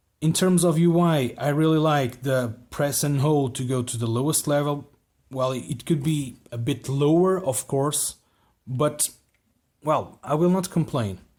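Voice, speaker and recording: A man with a non-native accent speaks at a fairly slow pace with ordinary pitch variation. The recording is very clean, with a silent background. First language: not English. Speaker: flashlight reviewer. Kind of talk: product review. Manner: halting, many repeated words.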